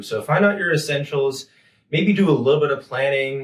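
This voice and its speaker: This man's pitch is fairly high. His voice is somewhat breathy. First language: German. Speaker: graduate student. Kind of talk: interview.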